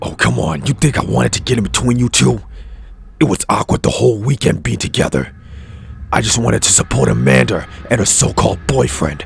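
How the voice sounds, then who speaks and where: A man puts on a cartoonish character voice with a very deep, low pitch. He moves at a fairly quick pace. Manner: cool, sardonic.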